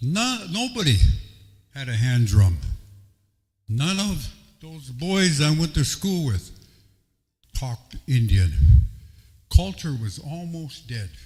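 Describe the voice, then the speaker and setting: With an American accent, a somewhat breathy man speaks at a very slow pace and a fairly high pitch, his voice making very wide pitch swings and big swings in loudness between long, frequent pauses. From US Midwest, Dakota reservations. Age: 70s. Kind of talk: public talk to audience.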